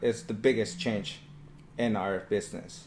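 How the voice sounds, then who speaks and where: A man with a Spanish accent, ordinary pitch variation and a fairly slow pace. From Mexico. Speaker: painting business owner. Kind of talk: casual chat.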